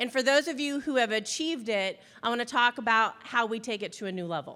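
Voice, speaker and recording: Loud, animated woman with a bright, sharp, high voice, lively intonation and a fairly quick pace, on a very clean recording with a silent background. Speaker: business coach and speaker. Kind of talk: motivational talk to an audience. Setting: stage with audience.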